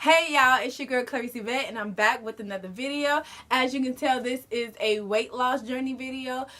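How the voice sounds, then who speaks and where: A woman speaks in a raised, projected voice at a high pitch. Her pace is fairly quick and her intonation fairly even. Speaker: lifestyle vlogger. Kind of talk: casual vlog talk to camera. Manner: fast.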